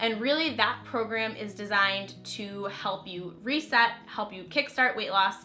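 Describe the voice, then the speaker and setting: A woman speaks at a fairly slow pace in an ordinary speaking voice, with ordinary pitch variation. Her loudness swings widely, and she hardly pauses at all. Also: fairly high pitch for a woman. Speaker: YouTuber and holistic nutritionist. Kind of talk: casual vlog talk to camera.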